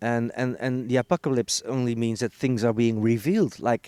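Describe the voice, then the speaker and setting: In a Dutch accent, a man speaks at a moderate pace with a medium pitch and a dark, mellow tone. The recording is very clean with a silent background and a dry, close sound with no echo. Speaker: healer and author on Mayan calendar. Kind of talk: interview. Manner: halting, many repeated words.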